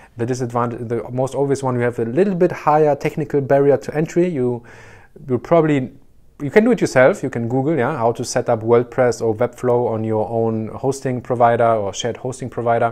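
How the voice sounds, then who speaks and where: A man with a German accent speaks at a fairly quick pace in a dark, mellow tone. His pitch varies in an ordinary way, and the background is quiet. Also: medium pitch for a man. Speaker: short-term rental business consultant. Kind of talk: tutorial. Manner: halting, many fillers.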